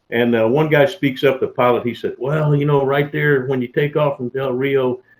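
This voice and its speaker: Speaking with a Texan accent, a man keeps a fairly high pitch and a moderate pace. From Texas (Mesquite). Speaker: retired federal agent. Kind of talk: storytelling interview. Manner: animated, with many fillers and repetitions.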